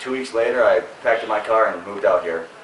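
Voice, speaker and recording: A man talks with an American accent at a fairly quick pace. Noticeable background noise and audible room echo are present. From Wisconsin, La Crosse. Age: 30s. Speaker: ski bum. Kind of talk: casual chat.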